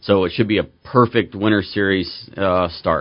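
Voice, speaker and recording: A man with a normal speaking voice talks at a moderate pace, his pitch fairly low. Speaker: Spec Miata racer. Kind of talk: radio interview, calm explanation. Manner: relaxed, measured.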